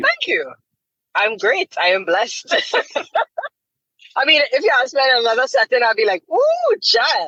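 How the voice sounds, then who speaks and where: A woman with a high-pitched, raised and projected voice and a bright, sharp tone speaks at a moderate pace, her pitch swinging very widely between long, frequent pauses. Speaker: TV presenter and voice actor. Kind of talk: interview answer.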